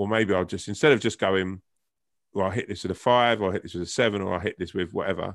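Against a quiet background, a man with a southern English accent talks very fast in a fairly low pitch with fairly even intonation. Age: 40s. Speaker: actor and comedian. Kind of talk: casual interview chat.

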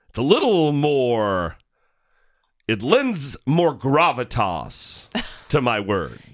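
In a put-on character voice, a man at medium pitch sounds hoarse and gravelly, speaking very slowly with long, frequent pauses and very wide pitch swings. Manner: affected, gravelly, meant to sound weighty.

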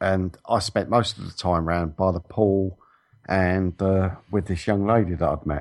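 In a British accent, a man speaks with a very deep, low pitch at a fairly slow pace. His intonation is fairly even, and the background is quiet. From England. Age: 40s. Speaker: radio co-host. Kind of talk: casual chat. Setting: remote call.

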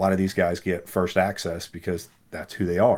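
Here a man talks at a moderate pace. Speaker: supplement brand owner. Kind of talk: casual interview. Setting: video call. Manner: soft-spoken.

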